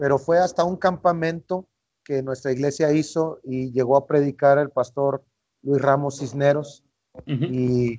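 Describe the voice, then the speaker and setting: An ordinary speaking voice at a fairly slow pace. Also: man, fairly high pitch for a man, fairly even intonation. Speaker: missionary. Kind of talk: interview. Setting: outdoors on the street.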